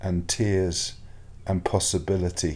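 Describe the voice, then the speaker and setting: Speaking at a very slow pace, a man uses a very deep, low pitch. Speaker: rabbi, podcast host. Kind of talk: poetry reading, spoken word. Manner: slow, meditative, lyrical.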